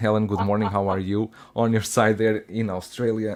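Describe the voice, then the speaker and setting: Speech comes at a moderate pace with a Russian accent. The recording is very clean, with a silent background. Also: man. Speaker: collectibles show host. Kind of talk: casual panel chat.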